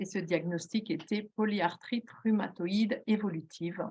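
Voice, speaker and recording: A woman's intonation stays fairly even as she talks at a very slow pace. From southern Belgium. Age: 60s. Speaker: retired police officer, patient giving testimony. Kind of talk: testimony. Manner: hesitant, many fillers.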